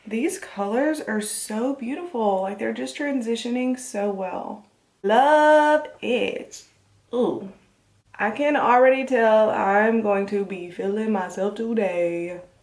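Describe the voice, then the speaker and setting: The pace is very slow, with lively intonation. Room echo is audible. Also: woman, fairly high pitch for a woman. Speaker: beauty vlogger, makeup artist. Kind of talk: tutorial. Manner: casual, chatty.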